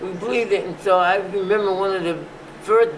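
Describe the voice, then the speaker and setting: Over noticeable background noise, a man with a high voice speaks at a moderate pace with fairly even intonation. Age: 80s+. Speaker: physician and museum founder. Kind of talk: oral history interview answer.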